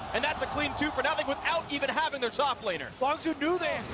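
There is crowd noise in the background. The speaker talks at a very fast pace in an animated tone. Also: man. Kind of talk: esports commentary. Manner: fast, animated play-by-play; excitable, rising pitch at kills.

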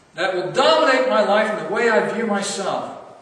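A man speaks at a high pitch and moderate pace, with lively intonation and a fairly bright tone. Strong room echo surrounds the voice.

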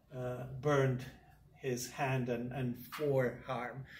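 A man speaks at a very slow pace with a medium pitch. His voice is somewhat breathy. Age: 60s. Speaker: university professor. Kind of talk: lecture. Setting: classroom. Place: classroom. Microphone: camera far.

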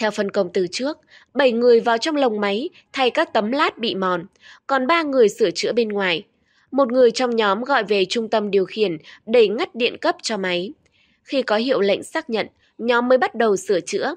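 Recorded dry and close with no echo over a quiet background, a woman with an unremarkable speaking voice talks at a moderate pace with lively intonation. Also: fairly high pitch for a woman. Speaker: news presenter. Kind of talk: news reading. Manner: formal.

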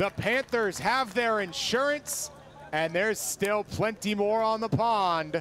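Noticeable background noise sits behind this recording. A man speaks in a high pitch with an energetic tone. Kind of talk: live baseball commentary highlights. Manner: clipped, energetic delivery.

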